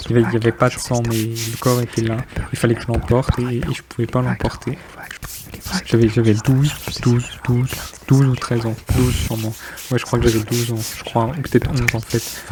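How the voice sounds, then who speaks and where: A man whispers at a fairly quick pace with long, frequent pauses. Noticeable background noise is audible. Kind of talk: whispered poetry reading with body sounds. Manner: whispered.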